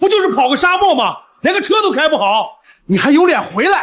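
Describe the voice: Putting on a character voice, a man speaks extremely high for a man, with a fairly bright tone, big pitch swings and a fairly quick pace.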